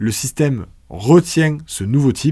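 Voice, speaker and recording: Very wide pitch swings in a southern French accent, on a very clean recording with a silent background. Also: man. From southern France. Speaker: programming teacher. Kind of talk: tutorial. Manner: casual, conversational.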